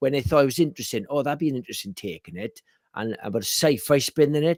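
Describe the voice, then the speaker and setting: Dry and close with no echo, a very clean recording with a silent background captures a man with a Welsh accent speaking at a fairly high pitch. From Wales. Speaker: horror film podcast co-host. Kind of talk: casual chat. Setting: live stream.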